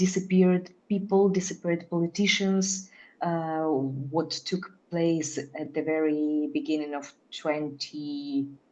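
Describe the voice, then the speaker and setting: A dark, mellow tone moves at a very slow pace over a quiet background. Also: woman, fairly low pitch for a woman, ordinary pitch variation. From Belarus. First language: Belarusian or Russian. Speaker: theatre artist. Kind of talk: panel conversation. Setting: event with live audience. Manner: halting, many fillers.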